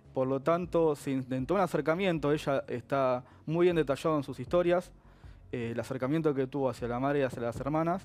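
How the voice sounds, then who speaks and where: At a fairly quick pace, a man with a fairly high voice speaks with ordinary pitch variation. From Argentina. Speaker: lawyer; guest. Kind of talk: TV interview. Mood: calm, measured. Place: studio. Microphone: headset.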